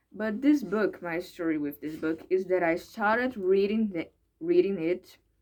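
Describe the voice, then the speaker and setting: With a Brazilian accent, a woman speaks at medium pitch and a moderate pace, her intonation lively. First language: Portuguese. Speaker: English learner vlogger. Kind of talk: casual vlog monologue. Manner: halting, hesitant with repetitions.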